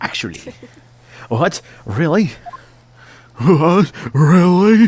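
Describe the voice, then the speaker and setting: A raspy put-on character voice at a middle pitch, spoken at a very slow pace. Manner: silly put-on voice.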